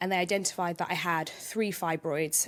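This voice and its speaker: A woman's fairly low voice with a London accent, at a fairly quick pace and in a fairly even intonation, on a very clean recording with a silent background. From London, England. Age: 20s. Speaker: podcast guest. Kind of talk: casual interview chat.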